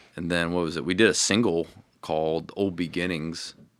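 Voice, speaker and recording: A man's very deep, low voice at a moderate pace with fairly even intonation, on a very clean recording with a silent background. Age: 20s. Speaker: metal band vocalist. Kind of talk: casual interview chat.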